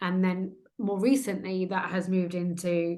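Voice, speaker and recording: Medium-pitched woman with a British accent. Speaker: trauma transformation coach. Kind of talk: interview conversation. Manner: hesitant, filler words.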